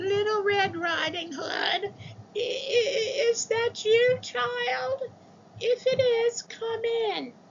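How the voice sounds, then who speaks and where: In a put-on character voice, a female-sounding speaker talks at a very slow pace with an extremely high pitch. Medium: read story. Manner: quavering, hesitant.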